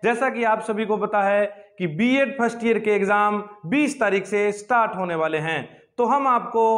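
Against a quiet background, a man talks at a fairly slow pace in a high pitch. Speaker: teacher. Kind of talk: lecture. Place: classroom. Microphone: lapel.

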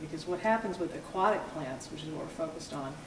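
A woman's fairly low voice is heard with noticeable background noise behind it. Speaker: interviewee. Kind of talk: interview answer. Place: hall. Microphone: camera far.

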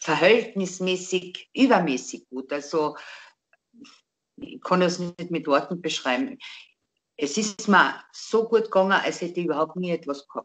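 Lively intonation in a Carinthian accent, at a fairly slow pace with long, frequent pauses. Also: woman, fairly low pitch for a woman, big swings in loudness. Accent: Carinthian Austrian dialect. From Austria. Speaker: interviewee telling a personal story. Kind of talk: interview answer. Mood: calm, reflective. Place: home room. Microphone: video call.

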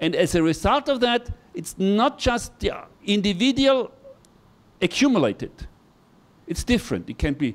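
A man with an Austrian accent talks fairly slowly, leaving long, frequent pauses. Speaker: university professor, hydrologist. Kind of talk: lecture. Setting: classroom with audience. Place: classroom. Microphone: handheld.

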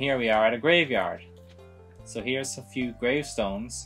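A man at a fairly slow pace with ordinary pitch variation, faint music behind him. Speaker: video game let's play host. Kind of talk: slow, clear explanation for English learners. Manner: slow, clear. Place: home room.

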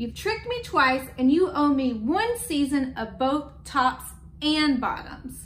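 A woman puts on a character voice, pitched high. She talks at a slow pace with big pitch swings.

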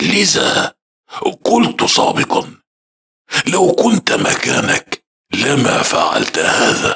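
A man puts on a character voice pitched high. He talks very slowly, with long, frequent pauses. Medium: read story. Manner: calm, knowing.

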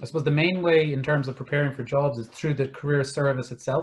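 A man talks at a fairly quick pace. His voice sits fairly high. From Ireland. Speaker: careers manager; webinar panelist. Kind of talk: webinar interview. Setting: video call. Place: home room. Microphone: video call.

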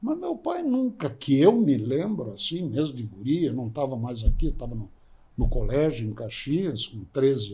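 A man's dark, mellow, somewhat breathy voice, fairly high in pitch and fairly slow. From Gramado, Rio Grande do Sul, Brazil. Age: 80s. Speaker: podcast guest. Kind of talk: interview answer, storytelling. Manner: conversational, reminiscing, informal. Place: studio. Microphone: studio mic.

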